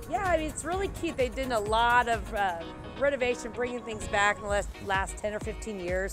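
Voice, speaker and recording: Clear music can be heard in the background. Over it, a woman talks at a moderate speed. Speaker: real estate agent host. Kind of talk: casual vlog chat. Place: street.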